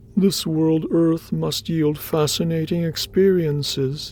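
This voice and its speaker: In a put-on character voice, a man speaks fairly slowly at a fairly high pitch with fairly even intonation, clear background noise behind him. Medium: read story. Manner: earnest, questioning.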